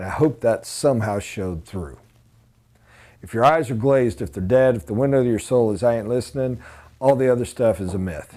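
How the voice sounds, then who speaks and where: This man has an American accent and a dark, mellow tone. He talks at a fairly quick pace with ordinary pitch variation. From USA. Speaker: sales trainer. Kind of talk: training lecture. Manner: emphatic. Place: classroom. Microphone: lapel.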